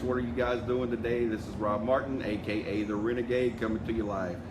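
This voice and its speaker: A man talks at a fairly quick pace with hardly any pauses, at medium pitch and with fairly even intonation. The recording has noticeable background noise and audible room echo. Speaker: insurance sales team leader. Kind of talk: live video address to sales group. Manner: fast.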